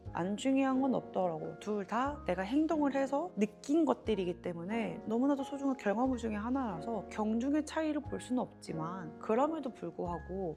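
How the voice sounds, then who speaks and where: Over music in the background, the speaker talks at a moderate pace with lively intonation. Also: woman. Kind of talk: casual talk to camera. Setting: studio.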